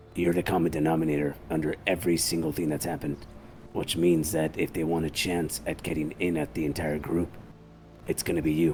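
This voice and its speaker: A man puts on a raspy character voice with a very deep, low pitch. He talks fairly quickly over clear background noise. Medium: game stream. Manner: measured, methodical.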